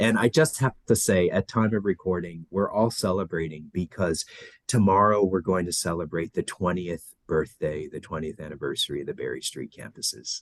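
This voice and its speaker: A man's very deep, low voice with an American accent, ordinary pitch variation, a moderate pace and hardly any pauses, in a dry, close sound with no echo. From Los Angeles, US. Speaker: education director. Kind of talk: podcast interview.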